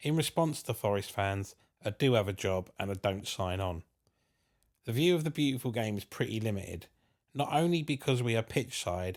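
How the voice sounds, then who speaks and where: A man at medium pitch with a southern English accent, lively intonation and a moderate pace. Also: very clean recording, silent background. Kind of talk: scripted narration.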